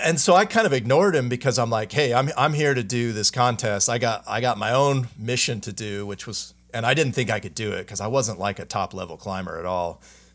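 A man speaks in an ordinary speaking voice at medium pitch, with ordinary pitch variation. His pace is fairly quick with hardly any pauses, on a very clean recording with a silent background. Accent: American. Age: 40s. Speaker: watch brand founder. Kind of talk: casual chat.

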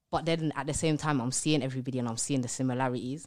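In a London accent, a woman talks at a very fast pace. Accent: London English, Multicultural London English. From East London, England. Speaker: public speaker and entrepreneur. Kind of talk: casual interview chat.

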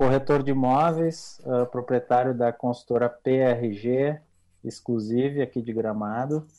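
Against a quiet background, a dark, mellow tone comes through with fairly even intonation at a very slow pace. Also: man. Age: 30s. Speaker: real estate broker and builder. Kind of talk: interview. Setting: remote internet recording.

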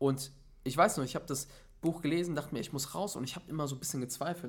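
Talking at a very fast pace, a man with a fairly high, somewhat breathy voice shows ordinary pitch variation and big swings in loudness. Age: 20s. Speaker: motivational speaker. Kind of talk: casual chat. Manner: animated.

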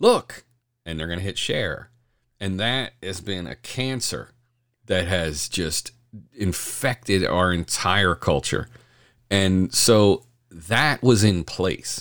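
A very deep, low male voice in an American accent, with lively intonation, big swings in loudness, a very slow pace and long, frequent pauses over a very clean, silent background. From Delaware County, Pennsylvania. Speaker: podcast host. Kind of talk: casual chat.

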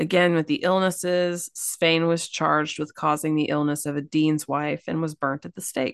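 A woman speaks with a very deep, low pitch in flat, monotone intonation at a moderate pace, with hardly any pauses. The sound is dry and close with no echo. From Kentucky. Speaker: podcast co-host. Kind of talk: casual storytelling chat.

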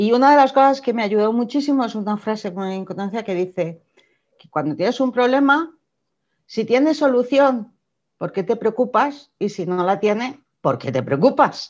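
Over a quiet background, a woman with an unremarkable speaking voice and a fairly high pitch speaks at a moderate pace with lively intonation. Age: 50s. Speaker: entrepreneur, former publishing executive. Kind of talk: interview. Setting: video call.

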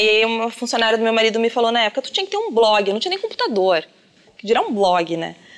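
A woman's fairly high voice with a southern Brazilian accent. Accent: gaúcho Brazilian Portuguese. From southern Brazil, Rio Grande do Sul. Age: 30s. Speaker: makeup artist and influencer. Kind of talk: casual interview. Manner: animated.

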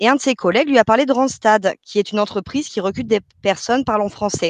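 Her sound dry and close with no echo, a woman with an ordinary speaking voice talks fairly quickly at a fairly high pitch with ordinary pitch variation. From France. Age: 30s. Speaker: call centre worker. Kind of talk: interview.

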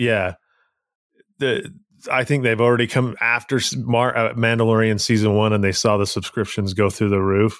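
He has a plain, everyday voice and a moderate pace. His intonation is fairly even and his loudness very even. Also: medium pitch for a man. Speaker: podcast co-host. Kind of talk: casual chat.

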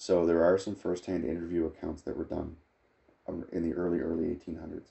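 A very deep, low-pitched man with vocal fry, fairly even intonation and a fairly quick pace. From Nova Scotia, Canada (Acadian, Clare). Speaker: family history guest. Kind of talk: casual interview.

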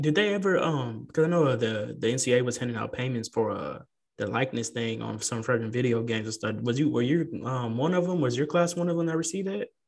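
Speaking with a Texan accent, a man talks at a very fast pace with lively intonation and a medium pitch. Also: hardly any pauses. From San Antonio, Texas. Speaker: podcast host. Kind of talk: casual interview.

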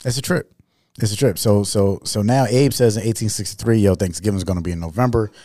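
Very fast and fairly low, a man with an American accent speaks in a dark, mellow tone with ordinary pitch variation. The recording is very clean, with a silent background. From New York City. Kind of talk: casual chat.

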